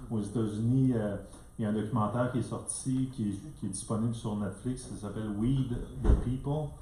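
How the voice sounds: With a dark, mellow tone and ordinary pitch variation, a man speaks at a fairly quick pace amid audible room echo. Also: fairly low pitch for a man.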